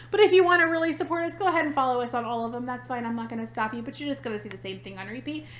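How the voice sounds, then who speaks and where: Amid noticeable background noise, a woman with a high voice and an American accent speaks at a very fast pace with hardly any pauses, sounding animated, with lively intonation and big swings in loudness. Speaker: podcast co-host. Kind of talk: casual chat.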